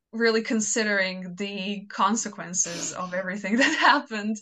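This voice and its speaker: This woman has a Croatian accent and a medium pitch. Her tone is bright and sharp, with ordinary pitch variation. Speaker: fanfiction author. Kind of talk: casual interview chat.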